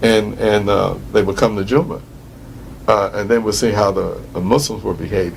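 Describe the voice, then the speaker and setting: Fairly low-pitched male voice with ordinary pitch variation and audible room echo. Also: moderate pace. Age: 60s. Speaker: retired prison imam. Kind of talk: interview. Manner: halting, many fillers.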